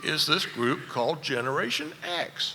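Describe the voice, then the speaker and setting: A Southern US accent against noticeable background noise. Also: man. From US South, rural Virginia. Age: 70s. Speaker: furniture industry analyst. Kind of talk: conference keynote speech.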